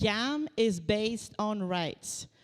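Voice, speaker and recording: On a very clean recording with a silent background, a woman with a Quebec accent speaks at a fairly high pitch with lively intonation. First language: French. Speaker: researcher. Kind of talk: lecture. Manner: halting.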